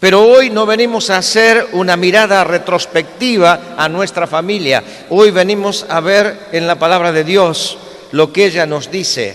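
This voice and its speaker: Noticeable background noise runs under a man speaking with a Galician accent. His pitch is high with ordinary variation, and his pace fairly slow. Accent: Galician-tinged Spanish. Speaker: preacher. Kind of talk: sermon.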